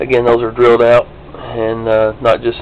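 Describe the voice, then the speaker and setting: A man with a Kentucky accent talks at a moderate pace over noticeable background noise. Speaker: diecast model hobbyist. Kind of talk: tutorial. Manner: casual, hesitant with fillers. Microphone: cheap small still camera.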